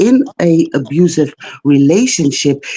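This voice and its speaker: A woman's dark, mellow voice with a non-native accent, at a very slow pace. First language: not English. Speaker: caller on live stream. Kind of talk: call-in discussion. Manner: halting, many fillers.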